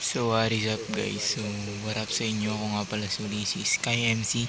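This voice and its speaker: With music in the background and audible room echo, a man with a fairly low pitch speaks at a fairly quick pace in monotone, flat intonation. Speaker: gaming youtuber. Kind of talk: gameplay voice-over commentary. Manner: casual, filler-heavy.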